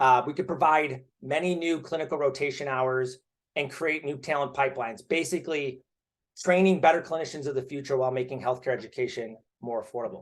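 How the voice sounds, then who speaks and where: The words rush out very fast, and the intonation stays fairly even. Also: man, fairly high pitch for a man. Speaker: startup founder pitching investors. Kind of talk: startup pitch presentation.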